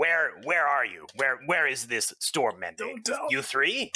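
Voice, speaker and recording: Putting on a character voice, a man talks at a fairly slow pace with fairly high pitch. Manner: suspicious, pumping for information; broken grammar, curt and probing.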